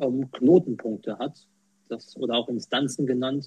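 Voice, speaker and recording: A man's medium-pitched voice at a fairly slow pace. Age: 20s. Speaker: quality manager and accessibility volunteer. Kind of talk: interview. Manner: hesitant, many fillers.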